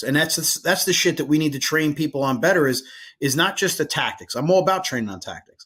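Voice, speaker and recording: On a very clean recording with a silent background, a man with an American accent speaks at a fairly high pitch with lively intonation. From New Jersey. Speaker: firefighter and podcast host. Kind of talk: casual interview chat.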